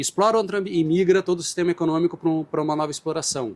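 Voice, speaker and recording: A man speaks with a Brazilian accent and ordinary pitch variation. The sound is dry and close, with no echo. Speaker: marine scientist, professor. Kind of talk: interview. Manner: hesitant, with fillers.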